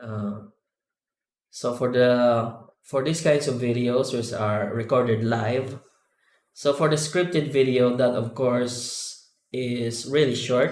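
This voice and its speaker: A non-native accent with fairly even intonation and audible room echo. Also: man. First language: not English. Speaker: 3D artist and add-on developer. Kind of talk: live tutorial. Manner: sometimes slow, searching for words; halting, many fillers.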